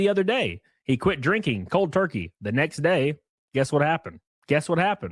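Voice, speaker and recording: With very wide pitch swings and vocal fry, a man talks at a fairly quick pace in a very clean recording with a silent background and a dry, close sound with no echo. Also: fairly high pitch for a man. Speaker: commentary streamer. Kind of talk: casual live stream commentary. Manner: stuttering.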